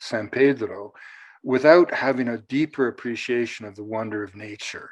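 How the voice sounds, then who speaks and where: Fairly slow speech from a man, quiet background behind him. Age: 60s. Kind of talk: panel discussion. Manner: halting, with many fillers and restarts.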